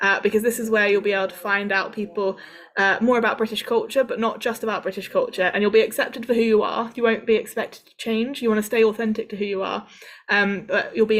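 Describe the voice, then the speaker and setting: Speaking at a very fast pace with a southern English accent, a woman holds a fairly high pitch in a monotone, flat intonation. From southern England, Cambridge. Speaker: international student support worker. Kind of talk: workshop talk. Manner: hesitant, many fillers.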